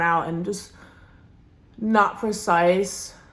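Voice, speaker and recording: Audible room echo surrounds a woman talking at a fairly low pitch with ordinary pitch variation. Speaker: beauty vlogger, restaurant worker. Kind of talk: makeup tutorial chat. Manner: casual, filler-heavy; loud.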